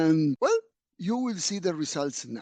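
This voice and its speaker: A man in a Spanish accent with a dark, mellow tone and very wide pitch swings, a dry, close sound with no echo, and a quiet background. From Argentina. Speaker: physician. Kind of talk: lecture. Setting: webinar.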